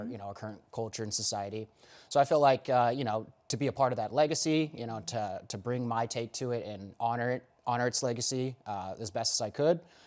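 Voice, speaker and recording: A man speaks in a plain, everyday voice at a medium pitch and a fairly quick pace, with ordinary pitch variation, on a very clean recording with a silent background. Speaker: stage actor in a live radio play. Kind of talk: interview answer.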